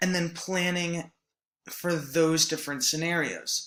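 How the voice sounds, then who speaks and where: This man talks at a fairly slow pace in a high, bright and sharp tone. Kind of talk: presentation lecture. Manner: hesitant, many filler words.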